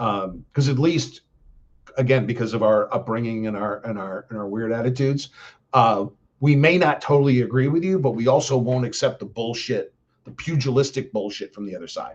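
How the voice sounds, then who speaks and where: A man talks in a plain, everyday voice at a fairly quick pace, with medium pitch and ordinary pitch variation. His loudness swings widely. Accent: American. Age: 60s. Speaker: live streamer, political commentator. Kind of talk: casual monologue on a live stream. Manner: rambling, many fillers (um, uh).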